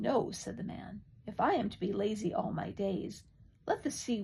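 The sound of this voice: The reading voice is unforced. Its pitch variation is ordinary.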